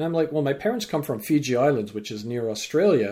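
In a Canadian accent, a man speaks at a fairly quick pace and fairly high pitch. His tone is dark and mellow, and somewhat breathy. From Vancouver, Canada. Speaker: business lecturer and life coach. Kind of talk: interview.

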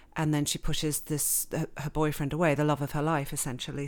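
A woman speaks with an English accent at a very deep, low pitch. The recording is very clean with a silent background. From England and Switzerland. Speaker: novelist. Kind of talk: interview.

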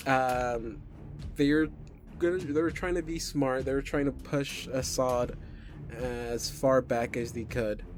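Music plays behind a man who speaks at medium pitch with ordinary pitch variation. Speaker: game master. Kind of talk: tabletop role-playing game session.

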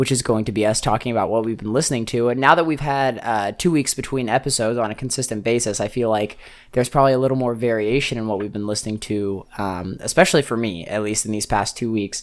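Ordinary pitch variation marks speech that runs at a very fast pace. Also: man. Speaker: podcast host and chef. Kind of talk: casual chat.

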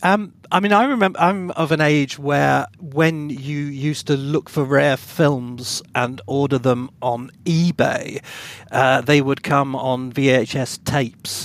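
With an English accent, a man speaks at a very slow pace and a fairly high pitch. He has ordinary pitch variation and hardly any pauses. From England (Bath). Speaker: podcast co-host and author. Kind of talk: casual chat. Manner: halting.

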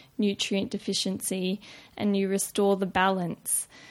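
With an Australian accent, a woman speaks at a medium pitch on a very clean recording with a silent background. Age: 20s. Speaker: nutrition student. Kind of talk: casual interview.

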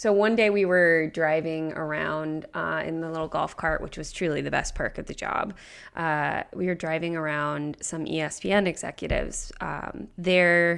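A woman with an American accent and a normal speaking voice, fairly low in pitch, at a moderate pace with hardly any pauses, in a very clean recording with a silent background. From Nebraska, US Midwest. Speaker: podcast producer. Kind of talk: casual chat.

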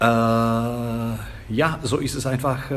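A man talks with fairly even intonation, and audible room echo hangs around his voice. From Slovakia, Bratislava. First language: Slovak (speaking German). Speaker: Germanist professor and literary translator. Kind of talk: casual interview. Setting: café. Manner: halting, many fillers and repetitions.

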